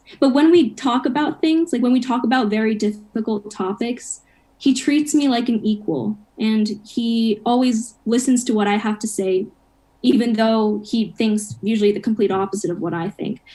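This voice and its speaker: Somewhat breathy and dark, mellow in tone, a woman with an American accent speaks at a fairly high pitch and moderate pace with ordinary pitch variation. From Japan and US upbringing. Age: 20s. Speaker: college student. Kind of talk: interview chat.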